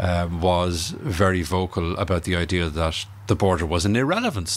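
A man with an Irish accent, very deep and low in pitch, with ordinary pitch variation at a moderate pace. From Ireland. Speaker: historian. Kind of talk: interview.

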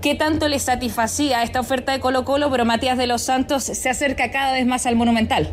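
A woman speaks fairly quickly at a high pitch in a flat monotone with very even loudness and hardly any pauses, over noticeable background noise. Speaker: sports reporter. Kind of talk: field report.

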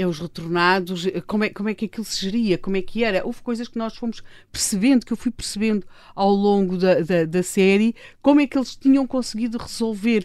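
With a normal speaking voice, a woman talks at a fairly quick pace and medium pitch, with ordinary pitch variation, on a very clean recording against a silent background. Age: 60s. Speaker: political commentator and columnist. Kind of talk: casual interview. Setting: radio studio.

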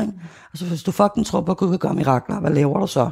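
A woman's fairly low, dark, mellow voice with vocal fry. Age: 40s. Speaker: former sect member and activist. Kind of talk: interview testimony.

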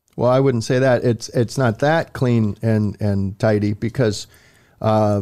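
A dark, mellow tone comes through at a moderate pace with fairly even intonation on a very clean recording with a silent background. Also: man. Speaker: sports beat writer and podcast host. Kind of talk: casual sports chat. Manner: jokey, bantering, with many filler words.

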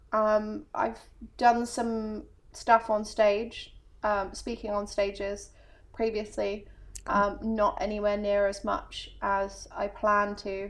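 At a very slow pace, a woman with an English accent speaks in a fairly high pitch with fairly even intonation. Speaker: coach. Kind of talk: casual interview chat.

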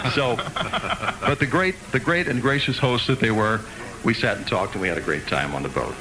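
Music plays in the background as a man talks at a very fast pace with a medium pitch. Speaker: radio news reader. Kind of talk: casual banter.

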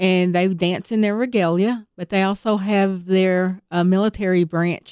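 With a Southern accent, this woman talks at a moderate pace in a medium pitch, her dark, mellow tone and fairly even intonation captured in a dry, close sound with no echo. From Tennessee, US South. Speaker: powwow organizer. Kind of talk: interview. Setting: studio.

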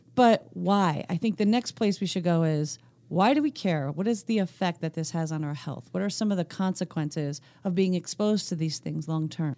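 With a dark, mellow tone and an American accent, a woman speaks at a moderate pace in a fairly low pitch with ordinary pitch variation, in a very clean recording with a silent background. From US Northeast, Pennsylvania. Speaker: podcast co-host. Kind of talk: casual educational chat.

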